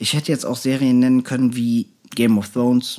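In a very clean recording with a silent background, a man with a normal speaking voice talks at a moderate pace and medium pitch. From Germany, North Rhine-Westphalia. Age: 30s. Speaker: podcast co-host. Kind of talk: casual chat.

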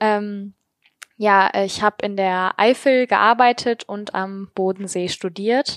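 At a very slow pace, a woman speaks in a medium pitch with fairly even intonation, the sound dry and close with no echo. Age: 20s. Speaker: podcaster and master's student. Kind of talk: interview.

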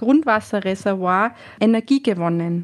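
A woman's normal speaking voice, fairly high in pitch with ordinary variation, at a fairly slow pace over a very clean, silent background. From Austria, Tyrol. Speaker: hotel manager. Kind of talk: interview.

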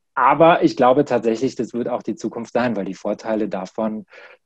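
This man has an unremarkable speaking voice at medium pitch, with ordinary pitch variation. He speaks at a moderate pace over a quiet background. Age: 30s. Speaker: corporate trainer. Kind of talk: interview.

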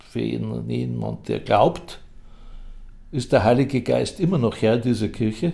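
This is a man talking. His pace is very slow. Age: 80s+. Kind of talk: interview.

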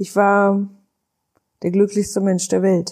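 On a very clean recording with a silent background, a woman with a medium pitch speaks at a moderate pace. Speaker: podcast host, life coach. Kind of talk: personal testimony monologue. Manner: hesitant with fillers.

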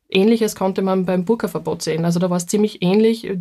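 A woman with a Styrian accent talks at a very fast pace and medium pitch. Her tone is dark and mellow, her intonation fairly even. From Styria, Austria. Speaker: minority rights researcher. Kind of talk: casual chat.

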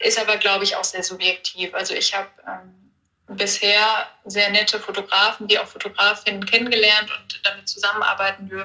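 This woman talks at a fairly quick pace with a medium pitch and a monotone, flat intonation. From Ruhr area, western Germany. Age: 20s. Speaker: hobby model and Instagram creator. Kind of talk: interview.

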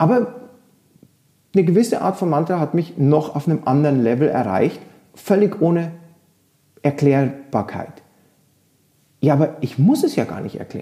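Speaking at a moderate pace with long, frequent pauses, a man uses a fairly high voice and lively intonation. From rural Germany. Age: 40s. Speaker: yoga teacher. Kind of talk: casual chat.

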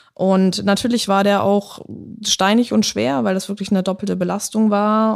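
A woman speaks at a moderate pace and medium pitch with flat, monotone intonation. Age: 20s. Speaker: former footballer, police officer. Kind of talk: casual interview.

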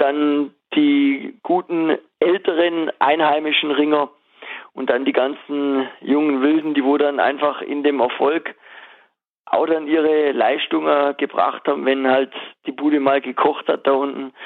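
Speaking at a fairly slow pace, a man with a fairly high voice keeps a monotone, flat intonation and very even loudness. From Swabia, southwest Germany. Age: 30s. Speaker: former wrestler and wrestling coach, master butcher. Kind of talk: casual interview.

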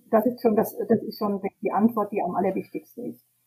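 The speaker is a woman with a somewhat breathy voice. Her tone is dark and mellow. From Hesse, Germany. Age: 70s. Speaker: tour guide and self-employed entrepreneur. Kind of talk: interview. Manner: hesitant with many fillers.

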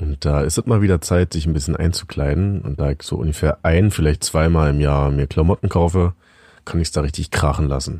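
Dry and close with no echo, a man's very deep, low voice has a dark, mellow tone, ordinary pitch variation and a fairly quick pace. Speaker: podcast co-host. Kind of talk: casual chat. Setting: home attic.

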